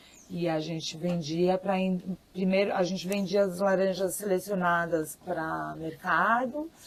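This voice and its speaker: A woman speaks at a fairly slow pace. Her pitch is fairly low and her intonation fairly even. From São Paulo, Brazil. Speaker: farmer. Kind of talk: interview answer.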